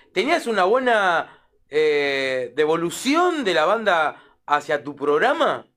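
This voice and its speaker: The speaker talks at a very slow pace with a bright, sharp tone and very wide pitch swings. The recording is very clean, with a silent background. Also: man, high pitch for a man. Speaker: radio host. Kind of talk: radio interview.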